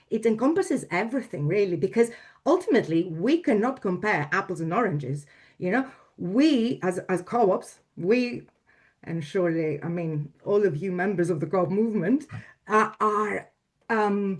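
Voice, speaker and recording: A woman speaks with a Greek accent. The background is quiet. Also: medium pitch for a woman, lively intonation, moderate pace. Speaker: domain registry executive. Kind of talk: panel discussion. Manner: halting.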